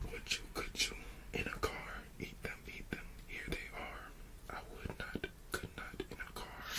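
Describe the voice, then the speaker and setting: A fairly slow whisper is heard with noticeable background noise around it. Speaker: ASMR creator who reads bedtime stories. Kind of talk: children's book reading for sleep.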